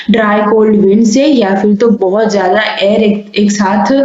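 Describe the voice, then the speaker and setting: A soft-spoken woman talks at a medium pitch with fairly even intonation. The recording has audible room echo and noticeable background noise. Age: young. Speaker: homeopathy teacher. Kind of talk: lecture. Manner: speaks softly.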